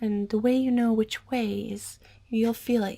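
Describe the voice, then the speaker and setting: The tone is gentle. The speaker is soft-spoken. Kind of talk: ASMR over-explaining roleplay. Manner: gentle, soft, repetitive.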